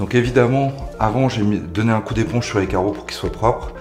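Pitch varies in an ordinary way at a fairly quick pace. Music can be heard clearly in the background. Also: man. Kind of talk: tutorial. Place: bathroom.

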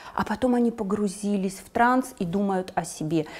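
A woman speaks with lively intonation at a moderate pace. The background is quiet. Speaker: psychotherapist. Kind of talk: interview. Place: studio. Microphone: lapel.

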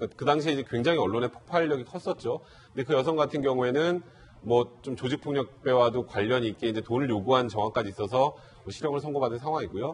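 Lively intonation marks this man's speech. He keeps up a fairly quick pace. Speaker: lawyer. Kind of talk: news panel discussion. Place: studio. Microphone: lapel.

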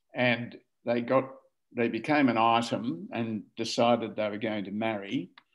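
In an Australian accent, a man speaks at a fairly slow pace. His intonation is fairly even, and the background is quiet. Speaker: family historian. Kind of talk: casual chat. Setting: video call. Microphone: video call.

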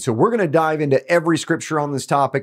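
The background stays quiet. The voice is a man's. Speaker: ministry teacher. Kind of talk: teaching intro to camera. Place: studio.

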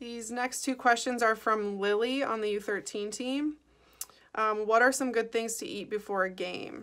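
This woman talks at a fairly slow pace with an American accent. The background is quiet. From Chicago, US Midwest. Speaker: professional soccer player. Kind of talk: recorded Q&A answering questions. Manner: casual, many filler ums. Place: home room. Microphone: phone near.

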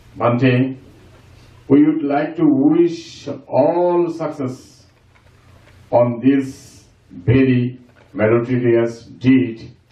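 Speaking at a very slow pace with long, frequent pauses, a man shows ordinary pitch variation amid audible room echo. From Bangladesh. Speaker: community member. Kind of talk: formal speech. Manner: formal. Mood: respectful, ceremonial. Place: hall. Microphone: camera far.

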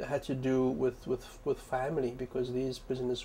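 Soft-spoken, a man talks at a moderate pace. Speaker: professor of information science, librarian and activist. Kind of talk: interview answer.

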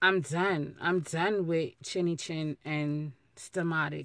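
Ordinary pitch variation comes through in a dry sound with no echo and a quiet background. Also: woman. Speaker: vlogger. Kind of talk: casual vlog chat. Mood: playful, joking. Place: car. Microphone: phone near.

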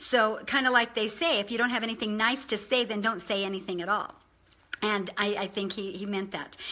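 A woman with a bright, sharp tone speaks in an animated way at a fairly quick pace. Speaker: online video presenter. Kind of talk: informal motivational talk. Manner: fast talker. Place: home room. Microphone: webcam.

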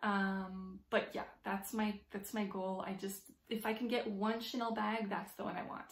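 A woman at a fairly slow pace in a room with audible echo. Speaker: handbag vlogger. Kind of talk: casual vlog chat. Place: home room. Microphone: phone near.

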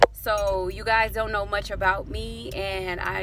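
Loud background noise accompanies a woman whose voice sounds dry, without any echo. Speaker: vlogger. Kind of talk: casual vlog chat. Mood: serious, vulnerable, reflective. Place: car. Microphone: phone near.

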